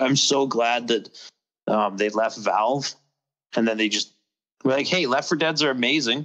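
Against a quiet background, a man with an American accent speaks in a bright, sharp tone with fairly even intonation. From US. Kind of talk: casual chat. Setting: video call.

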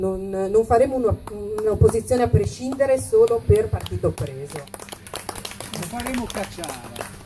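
Over light background noise, a woman talks at a fairly slow pace with lively intonation, big swings in loudness, and long, frequent pauses. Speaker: city councillor. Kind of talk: political speech. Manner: reading from notes. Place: stage.

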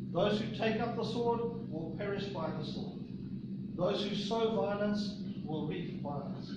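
Through loud background noise and audible room echo, a man talks at a moderate pace with ordinary pitch variation. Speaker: preacher. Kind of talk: sermon. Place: church. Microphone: camera far.

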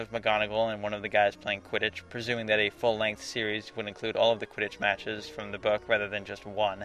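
Over music in the background, a man with a fairly low pitch talks at a very fast pace. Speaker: video editor. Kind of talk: scripted commentary narration.

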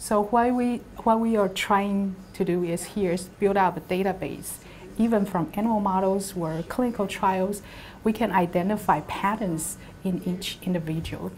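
A somewhat breathy woman's voice with a Taiwanese accent, fairly even intonation and moderate pace over light background noise. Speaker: university professor and lab principal investigator. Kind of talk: interview monologue about her background and research. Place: office. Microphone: lapel.

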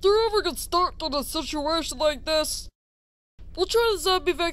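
A man puts on a cartoonish character voice. His pitch is extremely high. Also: moderate pace. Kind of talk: comic infomercial announcing. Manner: upbeat, salesy.

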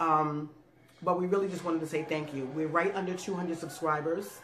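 Light background noise and audible room echo surround a woman speaking at a moderate pace in a fairly low pitch. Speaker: food YouTube channel co-host. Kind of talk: casual thank-you message to viewers. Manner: animated. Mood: warm, grateful, playful. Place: home room.

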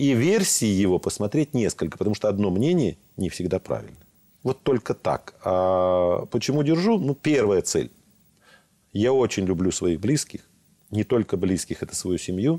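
Against a quiet background, a man talks at a moderate pace and a fairly low pitch, his tone dark and mellow. His intonation is lively, while his loudness stays very even. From southern Russia, Rostov region; southern Russia. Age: 60s. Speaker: regional legislator and gas company director; guest. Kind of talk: studio interview. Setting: studio. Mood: calm, reflective. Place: studio. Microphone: lapel.

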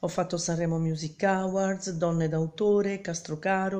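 Flat and monotone, a woman with a fairly low pitch and a dark, mellow tone speaks at a fairly slow pace. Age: 50s. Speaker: singer-songwriter. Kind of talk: self-introduction video; casual self-introduction vlog. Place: home room. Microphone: phone near.

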